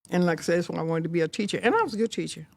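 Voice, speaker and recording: A woman's fairly low voice in a Texan accent. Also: very clean recording, silent background. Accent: Texan Southern US. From Fort Worth, Texas. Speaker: retired educator and community founder. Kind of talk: podcast interview answer.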